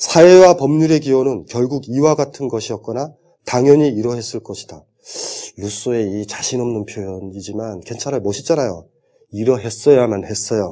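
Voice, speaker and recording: Lively in intonation, a man speaks at a moderate pace and medium pitch. His loudness swings widely. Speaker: philosophy lecturer. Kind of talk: lecture. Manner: animated.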